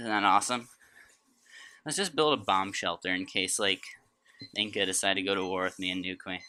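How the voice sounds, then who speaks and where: Pausing long and often, a man talks at a fairly quick pace in a bright, sharp tone. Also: fairly low pitch for a man, ordinary pitch variation. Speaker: gaming video creator. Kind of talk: gameplay commentary. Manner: casual, hesitant with fillers.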